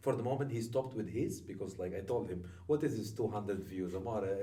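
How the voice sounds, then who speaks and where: With noticeable background noise and audible room echo, a man with an Italian accent talks at a very fast pace in a fairly low voice with ordinary pitch variation. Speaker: podcast host. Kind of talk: casual chat. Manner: animated.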